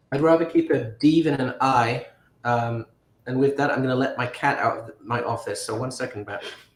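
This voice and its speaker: A man's somewhat breathy voice at medium pitch, moderate in pace, with fairly even intonation. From northern England. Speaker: Scrabble commentator. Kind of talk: live commentary. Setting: home office. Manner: hesitant.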